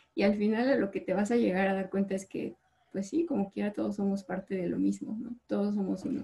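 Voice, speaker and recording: A woman's fairly quick delivery with ordinary pitch variation. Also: medium pitch for a woman. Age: 20s. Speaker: chemical engineer. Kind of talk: casual chat.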